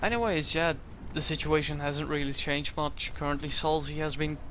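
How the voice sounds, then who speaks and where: Speaking at a moderate pace, a man uses a fairly high pitch and a bright, sharp tone. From Netherlands. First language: Dutch. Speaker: esports tournament commentator and streamer. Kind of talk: live commentary.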